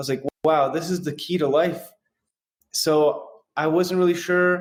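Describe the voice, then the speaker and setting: A man with a General American accent speaks at a moderate pace with monotone, flat intonation. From San Francisco, US. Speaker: real estate investor in recovery. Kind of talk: personal testimony in interview.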